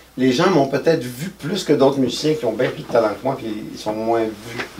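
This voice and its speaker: Noticeable background noise and audible room echo accompany a man speaking at medium pitch and a moderate pace with ordinary pitch variation. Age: 60s. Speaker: musician. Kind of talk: interview. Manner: halting.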